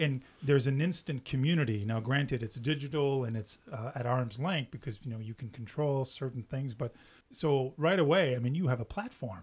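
Somewhat breathy, a man speaks at a medium pitch with ordinary pitch variation. His pace is moderate, with hardly any pauses. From French Canada. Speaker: podcast host. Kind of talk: interview.

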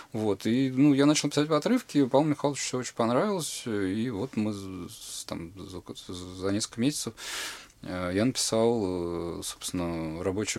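A man talks at a medium pitch. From Russia. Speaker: playwright and poet. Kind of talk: casual interview chat. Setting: studio. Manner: hesitant, many fillers.

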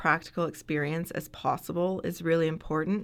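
A woman with a Canadian accent, music in the background. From Canada, Ontario. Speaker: veterinary surgeon and assistant professor. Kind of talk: interview.

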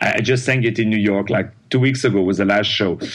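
A man with a French accent speaks at a medium pitch. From France, Paris. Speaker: opera and Broadway singer. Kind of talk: interview. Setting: phone call. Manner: animated, laughs often.

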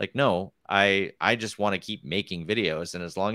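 A man with a bright, sharp tone speaks at a moderate pace in a fairly low pitch with ordinary pitch variation. The sound is dry and close with no echo, on a very clean recording with a silent background. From US Midwest, Wisconsin. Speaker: mountain bike trials rider and YouTuber. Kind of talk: casual chat.

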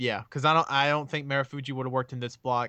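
A man with a Southern US accent and a bright, sharp tone against a quiet background. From Alabama, US South. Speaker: wrestling fan, podcast guest. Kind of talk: casual chat. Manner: animated.

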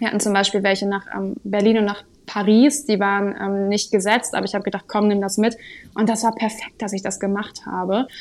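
In a very clean recording with a silent background, a woman speaks at a fairly quick pace in a medium pitch with monotone, flat intonation. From northern Germany, Sylt. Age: 20s. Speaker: social work coordinator. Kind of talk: interview.

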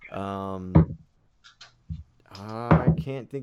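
Noticeable background noise runs through the clip. A man is talking over it. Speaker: podcast host and dungeon master. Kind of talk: casual chat.

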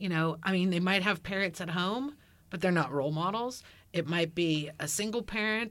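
The voice is an ordinary speaking voice with ordinary pitch variation, at a moderate pace. The recording is very clean, with a silent background. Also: woman, medium pitch for a woman. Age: 50s. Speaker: teacher. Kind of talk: casual chat.

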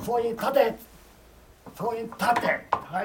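The man's pitch is extremely high. He talks at a moderate pace. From Gifu, Ena. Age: 90s. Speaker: war veteran. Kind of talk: testimony. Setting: public event with audience.

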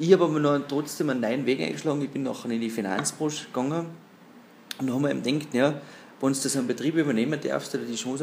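A man talks at a very fast pace. His medium pitch shows ordinary variation. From Austria, Pinzgau (Salzburg). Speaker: entrepreneur in the timber business. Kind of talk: interview. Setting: at the guest's company.

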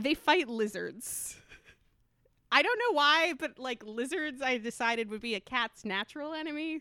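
A woman's raised, projected voice rings high, bright and sharp, with an animated tone and lively intonation in a dry, close sound with no echo. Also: moderate pace. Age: 20s. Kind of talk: casual chat.

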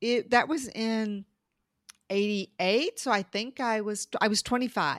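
A woman with an unremarkable speaking voice talks at a fairly slow pace, her fairly high pitch carrying ordinary variation. The recording is very clean, with a silent background and a dry, close sound with no echo. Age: 50s. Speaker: podcast co-host. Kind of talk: casual chat.

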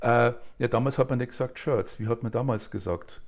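In a very clean recording with a silent background, a man of medium pitch speaks somewhat breathily at a moderate pace. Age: 60s. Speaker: author, director and actor. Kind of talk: casual chat.

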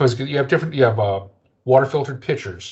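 This somewhat breathy voice, with an American accent, shows ordinary pitch variation. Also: man. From US East Coast, New Jersey. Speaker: podcast host, company copywriter. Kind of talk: casual chat. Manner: halting, many fillers.

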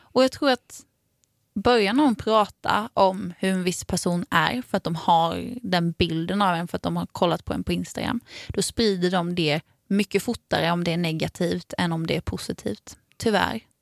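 Speaking at a moderate pace with ordinary pitch variation, a woman with a fairly low pitch is captured in a dry, close sound with no echo on a very clean recording with a silent background. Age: 20s. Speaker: podcast co-host and musician. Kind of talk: casual chat.

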